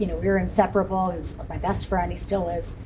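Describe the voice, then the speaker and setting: With audible room echo and noticeable background noise, a woman talks in an American accent. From Pittsburgh, Pennsylvania. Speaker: county commissioner. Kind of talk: interview.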